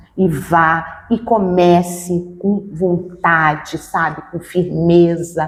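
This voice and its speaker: A woman's fairly low-pitched voice, monotone and flat, with hardly any pauses. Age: 60s. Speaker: spiritist medium. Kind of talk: interview. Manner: halting.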